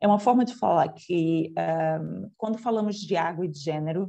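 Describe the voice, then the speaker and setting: This woman's voice sits fairly low, with a dark, mellow tone. She talks at a fairly slow pace with ordinary pitch variation. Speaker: lecturer. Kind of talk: lecture.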